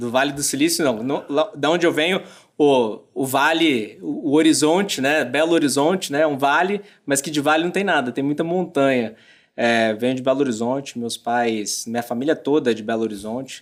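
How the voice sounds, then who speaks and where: This man's voice sits fairly high in pitch. He speaks at a moderate pace with ordinary pitch variation. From Brazil, moved between Rio, Argentina and Mexico. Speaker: business executive. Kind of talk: podcast interview. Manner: halting, many fillers.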